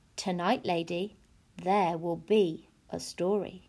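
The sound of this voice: A woman speaks slowly in a put-on character voice, fairly low in pitch with a dark, mellow tone, a slightly husky edge, vocal fry and fairly even intonation.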